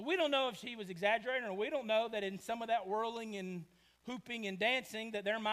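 You hear an unforced reading voice, and its pitch variation is ordinary.

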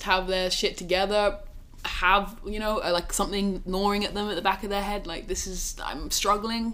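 A woman's medium-pitched voice with a southern English accent at a moderate pace, with audible room echo and noticeable background noise. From England, Oxford. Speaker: student-athlete. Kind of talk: casual chat. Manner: animated.

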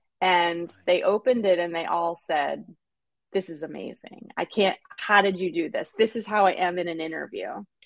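With a plain, everyday voice at a medium pitch, a woman talks at a moderate pace with ordinary pitch variation. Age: 40s. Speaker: interview coach and HR expert. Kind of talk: interview.

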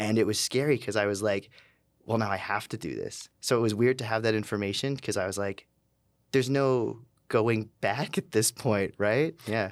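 A man with a Canadian accent talks at a moderate pace in a fairly low pitch, with a normal speaking voice and fairly even intonation. The recording is very clean, with a silent background. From Calgary, Canada. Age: 30s. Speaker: tattoo artist and burlesque performer. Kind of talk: interview.

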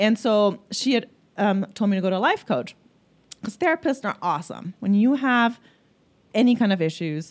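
With lively intonation, a woman speaks in a German accent on a very clean recording with a silent background. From Germany. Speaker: life coach. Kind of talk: interview.

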